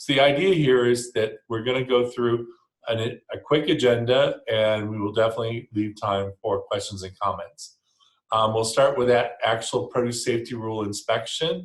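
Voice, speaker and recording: A man with an American accent and a somewhat breathy, medium-pitched voice, at a moderate pace with ordinary pitch variation. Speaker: food safety regulator presenter. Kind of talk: webinar presentation. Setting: online webinar.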